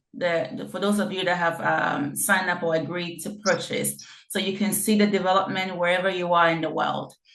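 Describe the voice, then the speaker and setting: Her plain, everyday voice sits at medium pitch as a woman talks at a moderate pace with fairly even intonation. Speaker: real estate developer presenting a project. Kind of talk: online info session presentation.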